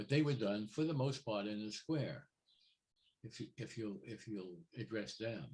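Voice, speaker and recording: A man speaks at a moderate pace with lively intonation and a somewhat breathy voice. His speech has long, frequent pauses. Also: medium pitch for a man. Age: 80s+. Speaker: photographer. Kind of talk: interview. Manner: halting.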